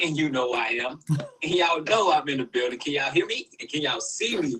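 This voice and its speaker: A man with an American accent speaks at a very fast pace over noticeable background noise. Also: fairly high pitch for a man, ordinary pitch variation. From South Florida, Fort Lauderdale. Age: 30s. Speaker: customer giving testimonial.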